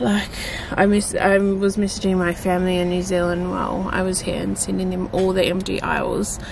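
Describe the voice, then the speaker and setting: Over noticeable background noise, a woman speaks at a fairly quick pace in a monotone, flat intonation, the sound dry with no echo. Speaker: vlogger. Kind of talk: casual vlog chat. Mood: annoyed, ranting. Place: car. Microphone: phone near.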